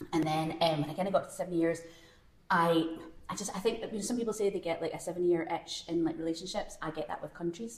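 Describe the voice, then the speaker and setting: A woman with a strong Glasgow accent, fairly low pitch and ordinary pitch variation, at a very fast pace, amid audible room echo and noticeable background noise. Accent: Scottish (Glasgow), kept strong. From Scotland, Glasgow. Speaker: screenwriter. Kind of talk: live panel conversation. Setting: stage with audience at a film festival.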